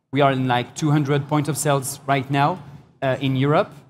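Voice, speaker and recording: The man's voice is fairly high and somewhat breathy. He keeps a moderate pace with fairly even intonation. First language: not English. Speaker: founder of a vegan shoe brand. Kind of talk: panel discussion. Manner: halting.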